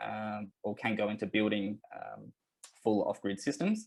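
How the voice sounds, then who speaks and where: With an Australian accent, a man talks at a fairly quick pace and a medium pitch against a quiet background. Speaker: company representative presenting a webinar. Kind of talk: webinar presentation. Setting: online webinar. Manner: hesitant, many fillers.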